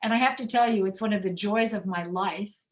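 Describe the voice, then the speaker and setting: Somewhat breathy, a woman speaks with an American accent and fairly even intonation. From US Midwest, rural Indiana. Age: 70s. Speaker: mystery novelist, author. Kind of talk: author talk.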